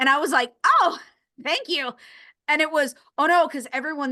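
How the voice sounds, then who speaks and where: In a raised, projected voice, a woman speaks at a moderate pace with an animated, bright, sharp tone against a quiet background. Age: 30s. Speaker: podcast host. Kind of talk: casual interview chat.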